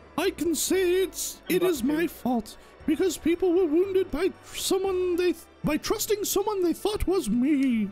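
An extremely high-pitched put-on character voice speaks at a fairly slow pace with clear music in the background. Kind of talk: improvised game-dialogue voice. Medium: virtual streamer. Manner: formal, earnest, apologetic.

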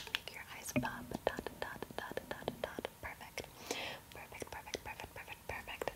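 She is soft-spoken. This woman whispers. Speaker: makeup roleplay host. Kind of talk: soft roleplay whisper-talk. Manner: soft, close ASMR near-whisper, quick. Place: home room. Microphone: studio mic.

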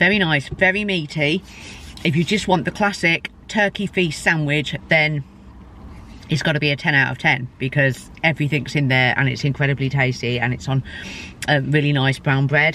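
A woman speaks in a very deep, low pitch at a moderate pace, with ordinary pitch variation. The sound is dry with no echo, over light background noise. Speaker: food vlogger. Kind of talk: casual vlog chat. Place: car. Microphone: phone near.

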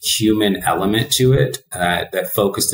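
A man's voice carries audible echo from the room. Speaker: remote guest. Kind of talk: interview answer. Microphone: webcam.

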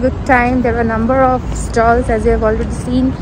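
A woman with a high pitch speaks in a flat monotone at a moderate pace. The sound is dry with no echo, though there is noticeable background noise. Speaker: vlogger. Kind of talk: casual vlog chat. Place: hall. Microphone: phone near.

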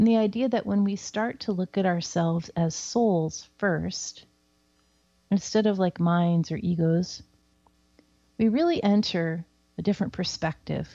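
Against a quiet background, a woman with a General American accent speaks at a fairly slow pace in a dark, mellow tone with fairly low pitch. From US Pacific Northwest. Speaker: psychic and spiritual teacher. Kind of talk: casual talk show with live readings. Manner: casual and chatty.

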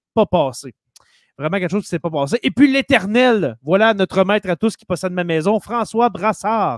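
A man talks at a fairly quick pace in a high voice with lively intonation and big swings in loudness. The sound is dry with no echo, over a quiet background. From Quebec. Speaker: teacher and podcast host; teacher, podcast host. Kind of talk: casual chat. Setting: live stream. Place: home room. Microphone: studio mic.

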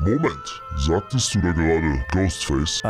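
A man does a put-on character voice with a very deep, low pitch. Music plays clearly in the background. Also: moderate pace. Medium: machinima. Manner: cold, threatening.

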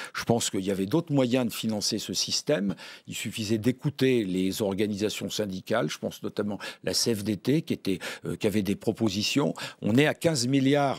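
Against a quiet background, a man talks in a fairly low pitch. His pace is moderate, with ordinary pitch variation. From France. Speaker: member of parliament; guest. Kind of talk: political debate. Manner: halting. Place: studio. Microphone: podium.

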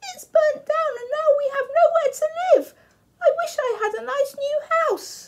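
A put-on character voice sounds female and squeaky, pitched extremely high. It moves at a moderate pace. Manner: sad, wishful.

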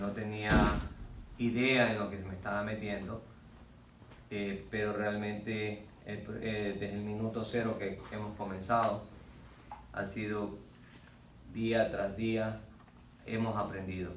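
There is audible room echo and light background noise as a man with a fairly low voice talks very slowly in a flat monotone, pausing often and at length. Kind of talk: interview answer. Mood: earnest, measured. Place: meeting room. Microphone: camera far.

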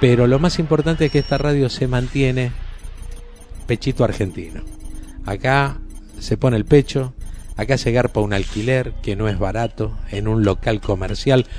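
The speech moves at a moderate pace with long, frequent pauses and ordinary pitch variation. Music plays in the background. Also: man, medium pitch for a man. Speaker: radio announcer / voice of the station's jingles. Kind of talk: casual greeting to camera, anniversary message. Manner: chatty, informal.

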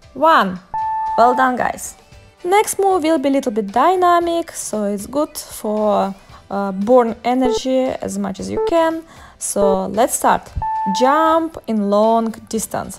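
A woman talks very slowly while clear music plays in the background. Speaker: fitness instructor. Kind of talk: workout instruction with counting.

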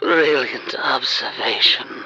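Over faint music in the background, a man does a put-on character voice with a husky, rough edge and a bright, sharp tone at a very slow pace.

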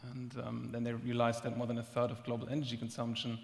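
A man speaks at a very fast pace in a monotone, flat way. His medium-pitched voice is somewhat breathy. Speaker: startup executive. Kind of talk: panel discussion. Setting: stage with audience. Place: stage. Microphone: headset.

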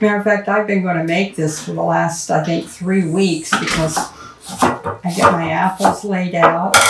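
Loud background noise runs beneath a woman speaking at a fairly slow pace. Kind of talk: casual cooking tutorial. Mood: warm, chatty. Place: kitchen. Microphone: camera far.

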